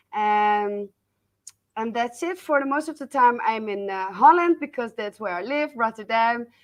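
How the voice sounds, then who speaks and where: Against a quiet background, a woman with a Dutch accent talks at a fairly high pitch. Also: lively intonation, moderate pace, big swings in loudness. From Netherlands. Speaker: business coach. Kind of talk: interview. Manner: halting.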